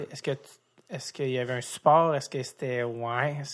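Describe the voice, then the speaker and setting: Speaking at a moderate pace, a man keeps a medium pitch and a monotone, flat intonation in a very clean recording with a silent background. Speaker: podcast host. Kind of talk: interview. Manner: halting.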